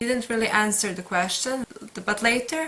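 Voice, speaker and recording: Female speaker with a Serbian accent and fairly even intonation, amid noticeable background noise. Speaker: book vlogger. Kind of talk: casual monologue. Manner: halting.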